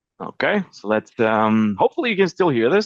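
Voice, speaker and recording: A man with a non-native accent speaks at a medium pitch with lively intonation. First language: not English. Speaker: tech reviewer, agency owner. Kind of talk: product review vlog. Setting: outdoors in rain on busy street; walking indoors away from office. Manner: casual, animated.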